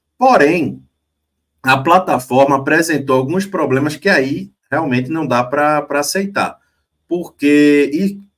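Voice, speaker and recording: The man's delivery is very slow. His pitch rises and falls an ordinary amount. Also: fairly high pitch for a man, quiet background. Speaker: sports live show co-host. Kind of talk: casual live stream sports chat. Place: home room. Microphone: webcam.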